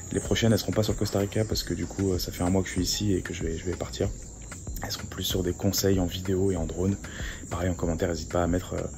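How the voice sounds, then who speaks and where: With noticeable background noise, a man speaks very fast in a very deep, low pitch and a monotone, flat intonation. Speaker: travel vlogger. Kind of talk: travel vlog. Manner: soft-spoken.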